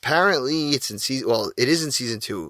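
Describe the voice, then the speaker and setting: A man's bright, sharp voice at medium pitch with a New York accent, lively intonation, and a dry, close sound with no echo on a very clean recording with a silent background. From New York, Queens and Long Island. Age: 30s. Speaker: podcast host. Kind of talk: casual solo podcast monologue.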